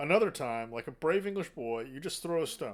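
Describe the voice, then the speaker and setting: A man puts on a gruff character voice, fairly high in pitch with very wide pitch swings. He talks at a moderate pace. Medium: read story. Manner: blunt, brusque.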